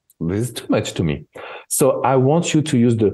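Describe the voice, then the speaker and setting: A man with a French accent and a dark, mellow tone at a moderate pace, against a quiet background. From France. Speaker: relationship expert. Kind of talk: interview conversation.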